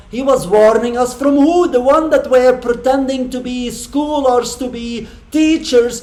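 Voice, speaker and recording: Speaking at an extremely high pitch, a man goes at a fairly slow pace with hardly any pauses. His intonation stays fairly even over noticeable background noise. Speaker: channel host debating an AI. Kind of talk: argumentative religious discussion. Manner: halting, with false starts.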